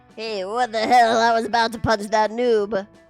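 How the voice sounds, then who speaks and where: A put-on character voice, raspy and gruff, speaks at a fairly high pitch in a monotone, flat delivery at a moderate pace, with faint music in the background. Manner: annoyed, aggressive.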